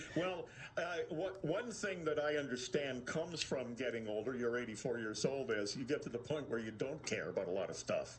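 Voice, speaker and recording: Over noticeable background noise, a man talks fairly quickly with lively intonation. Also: medium pitch for a man. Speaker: radio host. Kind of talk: radio talk show hosting.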